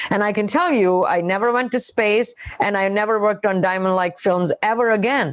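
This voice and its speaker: In an Indian accent, a woman speaks at a moderate pace with a medium pitch and ordinary pitch variation. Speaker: scientist. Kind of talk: panel interview.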